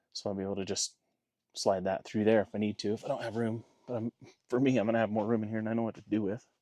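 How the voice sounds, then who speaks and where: Talking at a very fast pace, a man has a dark, mellow tone, fairly low pitch and monotone, flat intonation. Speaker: hunting dog vlogger. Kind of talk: casual vlog talk to camera. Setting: outdoors at a mountain camp.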